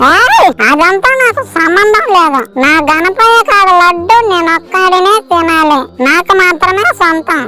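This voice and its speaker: A cartoonish character voice speaks at a very slow pace. Loud background noise runs behind it. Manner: slurred, brash, combative.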